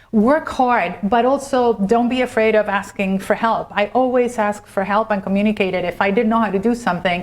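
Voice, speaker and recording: Over noticeable background noise, a woman speaks fairly quickly with hardly any pauses, using a fairly high pitch, fairly even intonation and very even loudness. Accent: Spanish. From Argentina. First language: Spanish. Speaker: corporate lawyer. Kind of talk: interview.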